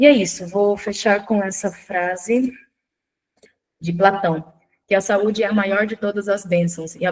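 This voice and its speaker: At a fairly slow pace, a woman with an ordinary speaking voice talks at a medium pitch with fairly even intonation. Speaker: nutrition speaker. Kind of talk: online workshop lecture.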